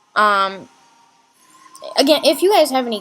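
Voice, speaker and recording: A woman speaks at a moderate pace with lively intonation as music plays behind her. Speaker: live streamer. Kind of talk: live stream talk. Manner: halting.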